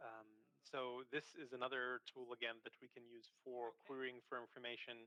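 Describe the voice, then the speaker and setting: Man's medium-pitched voice with monotone, flat intonation. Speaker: cybersecurity trainer. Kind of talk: tutorial. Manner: fast.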